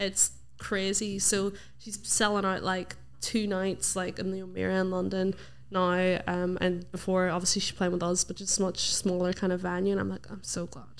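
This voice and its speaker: With a Northern Irish accent, a woman talks at a moderate pace in a monotone, flat intonation. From Northern Ireland. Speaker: radio presenter and singer; radio presenter. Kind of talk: casual interview chat. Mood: relaxed, friendly. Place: studio. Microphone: studio mic.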